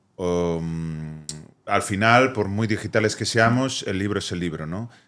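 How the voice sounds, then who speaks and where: A man's ordinary speaking voice, fairly low in pitch, at a fairly slow pace with ordinary pitch variation. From Spain, Vigo. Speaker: poet, therapist, cultural activist. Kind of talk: podcast interview answer.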